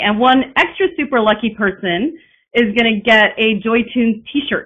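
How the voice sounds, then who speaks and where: A woman speaks in a fairly high voice with ordinary rises and falls in pitch. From Texas. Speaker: piano teacher. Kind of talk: webinar presentation. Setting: online webinar. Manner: fast; drops pitch at sentence ends. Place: home room. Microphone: webcam.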